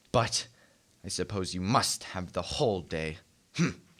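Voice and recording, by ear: Putting on a character voice, a man speaks at a fairly slow pace, low in pitch, with a fairly bright tone and lively intonation.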